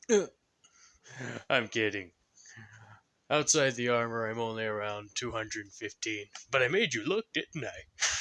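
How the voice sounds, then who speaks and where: Using a put-on character voice, a man with a medium pitch talks at a moderate pace with ordinary pitch variation and long, frequent pauses. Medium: solo performance. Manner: casual, dry, joking.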